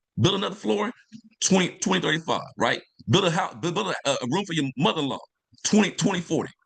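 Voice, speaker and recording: A man talks very fast in a high pitch. His tone is energetic. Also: lively intonation. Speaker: environmental justice professor and nonprofit founder. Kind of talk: interview on a video call. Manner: energetic hype-man delivery.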